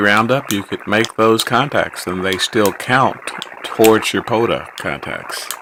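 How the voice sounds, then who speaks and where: Over noticeable background noise, a man with a strong Texas accent and fairly low pitch speaks at a fairly slow pace with fairly even intonation. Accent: thick Texas. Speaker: ham radio operator. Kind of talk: casual solo commentary while operating radio.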